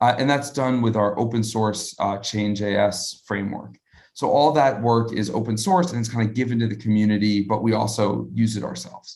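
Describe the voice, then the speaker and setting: A man with an American accent talks at a fairly quick pace in a plain, everyday voice, medium in pitch with ordinary pitch variation and hardly any pauses, on a very clean recording with a silent background. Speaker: crypto startup founder. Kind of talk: live interview Q&A. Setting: live video stream. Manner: casual, many filler words.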